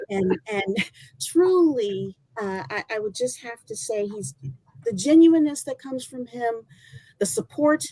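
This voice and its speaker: Loud and with an American accent, a woman speaks at a moderate pace in a fairly high voice with a dark, mellow tone and very wide pitch swings. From Michigan. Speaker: former college athlete. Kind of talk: testimony.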